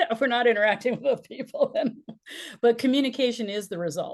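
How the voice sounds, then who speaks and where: With lively intonation and a fairly quick pace, a woman talks in a normal speaking voice. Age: 60s. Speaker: business and life strategist, speaker coach. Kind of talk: interview conversation.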